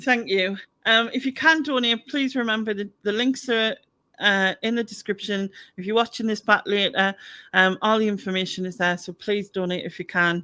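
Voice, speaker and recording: Bright and sharp in tone, a woman talks at a fairly high pitch with ordinary variation, captured on a very clean recording with a silent background. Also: moderate pace. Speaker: YouTube channel host. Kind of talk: casual chat. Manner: halting, many fillers and repeats.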